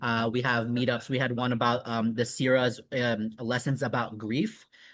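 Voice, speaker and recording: Against a quiet background, a man with an American accent speaks in a flat monotone with a bright, sharp tone. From Southeast Michigan. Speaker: marriage and family therapist. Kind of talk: interview answer.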